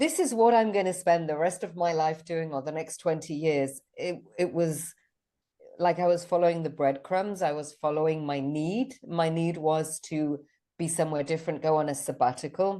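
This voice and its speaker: Woman with a British accent, a dark, mellow tone, fairly low pitch, ordinary pitch variation and a moderate pace, set against a quiet background. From Switzerland. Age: 50s. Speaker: business mentor and retreat founder. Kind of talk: podcast interview. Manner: halting.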